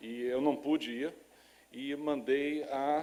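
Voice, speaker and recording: He speaks with a Rio de Janeiro accent. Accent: Rio de Janeiro (carioca). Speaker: lecturer on laboratory animal science. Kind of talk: lecture. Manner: halting with many fillers.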